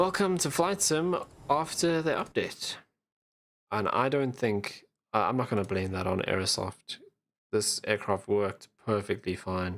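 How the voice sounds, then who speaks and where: At a fairly slow pace, a man talks with medium pitch and very wide pitch swings in a very clean recording with a silent background. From South Africa, Johannesburg. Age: 20s. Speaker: flight sim streamer. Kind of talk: live stream commentary. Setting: live stream.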